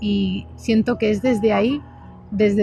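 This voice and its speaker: A woman talks at a very slow pace over music in the background. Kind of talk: casual talk to camera.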